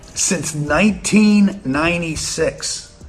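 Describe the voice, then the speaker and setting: A man with an American accent speaks while music plays in the background. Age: 60s. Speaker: real estate investor and finance commentator. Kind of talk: casual commentary monologue.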